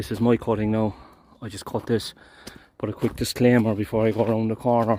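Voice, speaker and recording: With an Irish accent, a man talks at a fairly quick pace in a dark, mellow tone. His intonation is monotone and flat. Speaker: gardener. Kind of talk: work vlog narration. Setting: outdoors.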